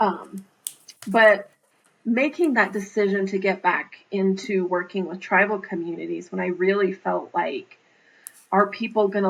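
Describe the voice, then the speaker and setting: An unremarkable speaking voice from a woman with an American accent, medium in pitch with ordinary pitch variation, at a fairly slow pace. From Navajo Nation, Northern Arizona. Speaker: public health leader. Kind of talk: interview answer.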